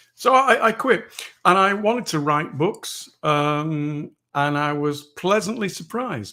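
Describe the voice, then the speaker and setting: A man with an English accent speaks in a fairly high pitch with a bright, sharp tone and lively intonation. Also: very clean recording, silent background. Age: 60s. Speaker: author and former foreign correspondent. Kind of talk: interview.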